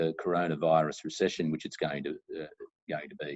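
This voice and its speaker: A man speaks with an Australian accent. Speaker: lawyer. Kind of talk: interview. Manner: halting, many fillers and repeats.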